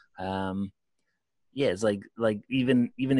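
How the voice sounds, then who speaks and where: With an unremarkable speaking voice, a man talks fairly slowly at a medium pitch and fairly even intonation, the sound dry and close with no echo in a very clean recording with a silent background. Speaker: podcast host, musician. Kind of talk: casual chat.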